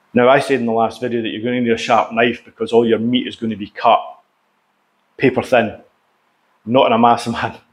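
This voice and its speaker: A man's monotone, flat delivery at a moderate pace. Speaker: cooking channel host. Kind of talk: casual vlog chat. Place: kitchen. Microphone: lapel.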